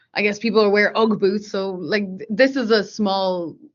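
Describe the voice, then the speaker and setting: A woman with an Irish accent talks with fairly even intonation. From Ireland, Dublin. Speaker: software engineer. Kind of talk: interview.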